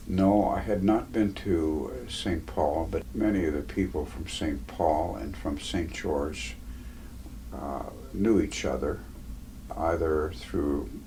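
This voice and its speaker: This man's pitch is very deep and low, with lively intonation. He speaks at a very slow pace, and room echo is audible. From Alaska, Pribilof Islands. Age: 80s+. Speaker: war veteran. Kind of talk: oral history interview. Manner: halting, many fillers.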